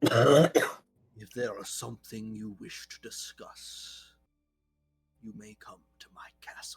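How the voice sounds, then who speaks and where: Robotic and very slow, a man speaks in a put-on character voice. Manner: ominous.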